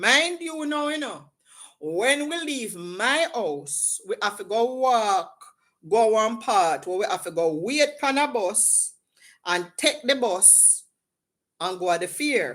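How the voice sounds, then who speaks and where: A woman's fairly high voice at a very slow pace, swinging very widely in pitch, on a very clean recording with a silent background. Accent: Jamaican. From Jamaica. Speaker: livestream host. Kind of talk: casual chat. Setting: livestream. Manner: animated.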